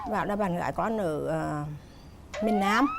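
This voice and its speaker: A woman's voice with noticeable background noise. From Nghệ An, north-central Vietnam. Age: 60s. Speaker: mother-in-law on TV talk show. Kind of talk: TV talk show interview.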